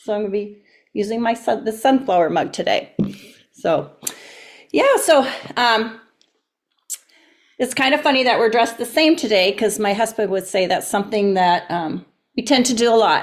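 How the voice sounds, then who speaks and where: An American-accented woman's voice, fairly high in pitch, with lively intonation, a moderate pace and long, frequent pauses. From Wisconsin, US Midwest. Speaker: video show host. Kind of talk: casual chat.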